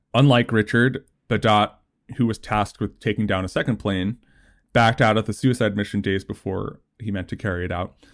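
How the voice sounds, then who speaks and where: In a very clean recording with a silent background, a man uses a normal speaking voice, fairly low in pitch, at a fairly quick pace with fairly even intonation. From New Jersey. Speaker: writer. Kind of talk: casual chat.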